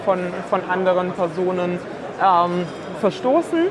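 Fairly slow female speech amid noticeable background noise and audible room echo. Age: 20s. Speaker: startup co-founder. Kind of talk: interview. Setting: trade fair.

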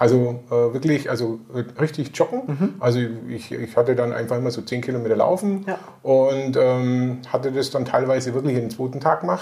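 The man talks at a fairly quick pace with ordinary pitch variation. Noticeable background noise is present. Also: medium pitch for a man. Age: 50s. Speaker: interviewee, weight-loss client. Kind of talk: interview. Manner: halting.

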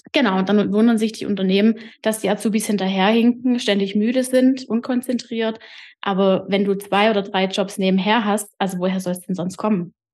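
At a fairly quick pace, a woman with an unremarkable speaking voice and a medium pitch talks in fairly even intonation against a quiet background. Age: 30s. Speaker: podcaster and trainee coach. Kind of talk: interview.

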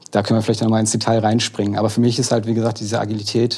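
With a dark, mellow tone and vocal fry, a man speaks at a fairly low pitch in a monotone, flat way. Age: 40s. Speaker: agile coach. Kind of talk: casual chat.

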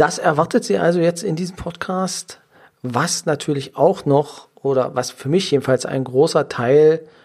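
A man pitched fairly high, speaking at a fairly slow pace. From Saxony-Anhalt, near Magdeburg. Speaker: lawyer and professional legal guardian, podcast host. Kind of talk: solo podcast monologue. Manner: frequent filler hesitations (ähm).

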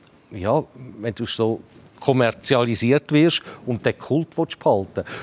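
A man at a medium pitch with a Zurich accent, in a dry, close sound with no echo. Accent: Swiss German, Zurich. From Switzerland, Zurich area. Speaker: football pundit, former club director. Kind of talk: panel discussion.

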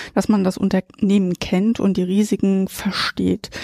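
At a very slow pace, a woman with a medium pitch and a dark, mellow tone speaks in a dry, close sound with no echo, on a very clean recording with a silent background. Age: 50s. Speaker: insurance expert, head of liability department. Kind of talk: interview.

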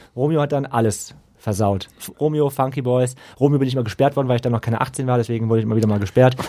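Talking at a very fast pace, a man with a dark, mellow tone and medium pitch uses ordinary pitch variation on a very clean recording with a silent background. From western Germany (Lower Rhine area). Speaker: podcast co-host. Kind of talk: casual chat.

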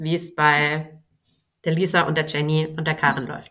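A woman's normal speaking voice, fairly low in pitch, at a fairly slow pace. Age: 30s. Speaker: business mentor and time management coach. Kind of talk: casual interview.

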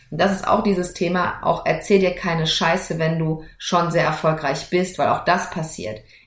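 Audible room echo surrounds a woman's fairly low voice. She speaks at a moderate pace. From Germany, rural farm upbringing. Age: 40s. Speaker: lawyer and entrepreneur, podcast host. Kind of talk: solo podcast monologue. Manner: casual, lively.

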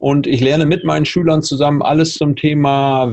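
Monotone, flat intonation marks this man's fairly high voice. His pace is moderate. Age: 50s. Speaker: entrepreneur and public speaker. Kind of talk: interview.

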